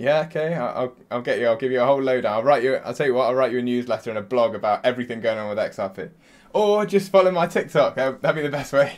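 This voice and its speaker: A man with an English accent, very fast pace and lively intonation. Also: medium pitch for a man. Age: 20s. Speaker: podcast host. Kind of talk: interview podcast. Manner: casual.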